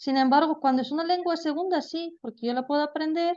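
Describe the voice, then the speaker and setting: Here a woman talks at a fairly quick pace with ordinary pitch variation. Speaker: language teacher. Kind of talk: lecture. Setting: video call.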